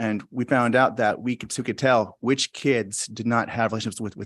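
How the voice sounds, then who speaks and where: Against a quiet background, a man talks at a medium pitch with fairly even intonation. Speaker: school principal. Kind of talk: presentation at school board meeting. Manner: fast; halting, many fillers.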